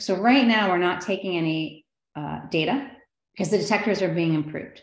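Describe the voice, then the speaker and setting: In a room with audible echo, a woman talks at a fairly quick pace with ordinary pitch variation. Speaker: astrophysicist. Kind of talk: public lecture. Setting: video call. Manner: fast.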